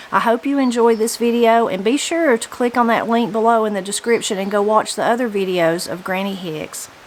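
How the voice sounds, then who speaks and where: With noticeable background noise, a woman talks at a fairly quick pace and a fairly high pitch, with ordinary pitch variation and hardly any pauses. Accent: Southern Appalachian. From Appalachia, western North Carolina. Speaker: interviewer. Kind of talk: casual interview.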